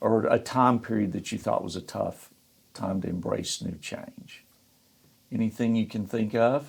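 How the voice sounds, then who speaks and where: A man at a fairly slow pace with a Southern US accent. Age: 60s. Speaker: podcast host, financial firm CEO. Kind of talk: casual interview.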